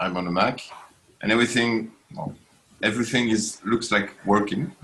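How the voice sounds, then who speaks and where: Over noticeable background noise, a man with a French accent talks at a moderate pace in a medium pitch, with ordinary pitch variation. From France. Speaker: programmer. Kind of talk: casual chat. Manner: halting.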